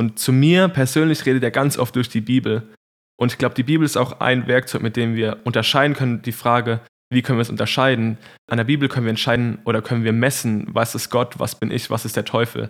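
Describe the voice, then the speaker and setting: At a fairly quick pace, a man with an unremarkable speaking voice talks at a medium pitch with fairly even intonation. The recording is very clean, with a silent background. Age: 20s. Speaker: Bible school student. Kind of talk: faith testimony in podcast conversation.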